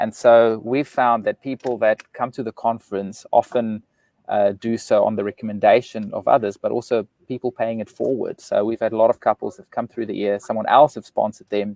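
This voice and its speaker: In a South African accent, a man talks fairly quickly with hardly any pauses. His loudness swings widely, and the sound is dry and close with no echo. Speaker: relationship author and speaker. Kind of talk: live interview. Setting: live video stream.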